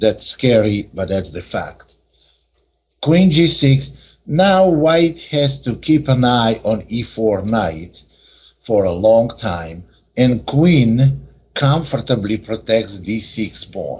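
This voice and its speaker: A man talks at a very slow pace in a medium pitch, somewhat breathy. His pitch swings very widely. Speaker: chess teacher. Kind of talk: lecture.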